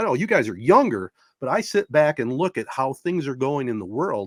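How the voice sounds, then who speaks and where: The speaker has an American accent, vocal fry and very wide pitch swings at a fairly quick pace. The sound is dry and close, with no echo. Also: man. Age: 60s. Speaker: sports podcast host. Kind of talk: casual chat.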